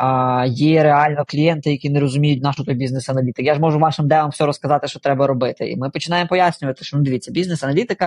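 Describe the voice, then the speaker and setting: A man's fairly high, somewhat breathy voice at a very fast pace, with fairly even intonation and a dry, close sound with no echo. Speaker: CEO of a product design company. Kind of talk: casual interview.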